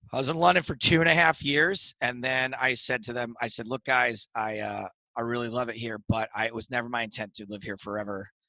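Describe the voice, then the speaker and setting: A man with an American accent talks at medium pitch and a fairly quick pace, with hardly any pauses and ordinary pitch variation. The background is quiet, and the sound is dry and close with no echo. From upstate New York. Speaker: comedian and poker TV commentator. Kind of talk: interview conversation. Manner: animated.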